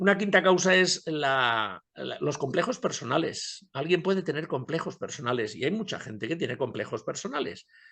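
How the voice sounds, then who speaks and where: A man speaks at a moderate pace with a fairly high pitch, very wide pitch swings, a bright, sharp tone and vocal fry, with hardly any pauses over a quiet background. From Spain. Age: 70s. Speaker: public speaking coach and journalist. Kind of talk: interview. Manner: hesitant, repeats words.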